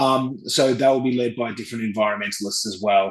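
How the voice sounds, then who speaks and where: A man's fairly low, bright and sharp voice at a moderate pace, with fairly even intonation. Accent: Australian. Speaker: travel company executive. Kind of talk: interview. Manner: hesitant, many fillers.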